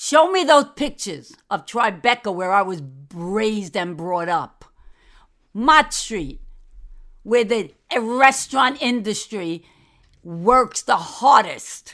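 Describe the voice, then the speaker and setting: A woman with a New York accent speaks very slowly at a fairly high pitch, with very wide pitch swings. She leaves long, frequent pauses on a very clean recording with a silent background. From New York City, Manhattan. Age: old. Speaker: host's grandmother, guest commentator. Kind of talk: angry rant. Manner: animated.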